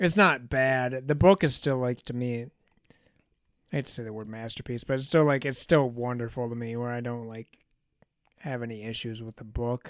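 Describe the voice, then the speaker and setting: Medium-pitched male speech, an ordinary speaking voice with ordinary pitch variation. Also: moderate pace. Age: 30s. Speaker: yearly review co-host, Harry Potter fan. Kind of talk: casual chat.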